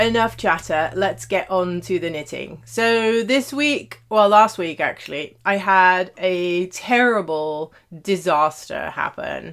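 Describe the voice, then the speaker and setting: In a British accent, a woman speaks very slowly with lively intonation. The recording is very clean, with a silent background. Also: medium pitch for a woman. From Netherlands / Britain (half British, half Dutch). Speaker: knitting podcaster. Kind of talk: casual chat. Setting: home office. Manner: hesitant, many fillers.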